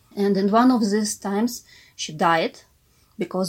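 At a fairly slow pace, a woman with a Russian accent speaks with ordinary pitch variation. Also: very clean recording, silent background. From Ukraine. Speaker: art historian and curator. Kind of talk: interview. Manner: halting.

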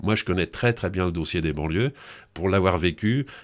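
Very deep and low, the man's voice carries lively intonation at a moderate pace. The recording is very clean, with a silent background. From Paris region (grew up in suburbs; born in Brittany). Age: 60s. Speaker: TV presenter. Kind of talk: interview.

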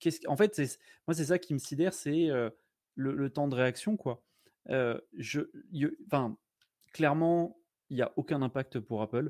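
In a very clean recording with a silent background, a man speaks at a fairly slow pace. His fairly high voice shows ordinary pitch variation, broken by long, frequent pauses. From France, Blois (Loir-et-Cher). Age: 40s. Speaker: tech streamer. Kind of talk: casual chat. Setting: live stream.

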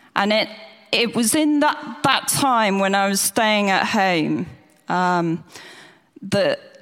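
With an English accent, a woman speaks at a medium pitch and a fairly slow pace. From England, near the church. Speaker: church member giving testimony. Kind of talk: testimony. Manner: halting.

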